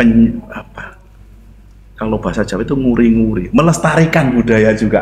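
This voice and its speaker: Over noticeable background noise, a man speaks at a moderate pace in a medium pitch with ordinary variation. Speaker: podcast host. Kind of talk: podcast host talk.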